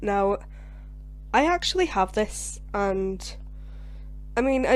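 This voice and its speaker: A woman with a Scottish accent, talking at a fairly slow pace. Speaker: gaming YouTuber. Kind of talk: video game commentary. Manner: casual, chatty with fillers.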